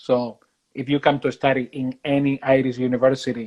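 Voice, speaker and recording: A man speaks with a Spanish accent. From Spain. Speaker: university recruitment manager. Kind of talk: interview. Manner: halting with repetitions.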